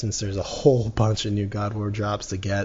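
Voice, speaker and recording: Fairly low and somewhat breathy, a man's voice comes through. He speaks at a fairly quick pace. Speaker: gaming YouTuber. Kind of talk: gaming commentary. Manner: stuttering; casual, halting with fillers.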